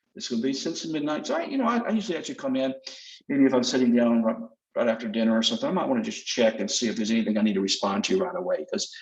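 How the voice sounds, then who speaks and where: A very fast pace in a Southern US accent. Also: man. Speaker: sales representative. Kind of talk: product demonstration. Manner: casual, conversational.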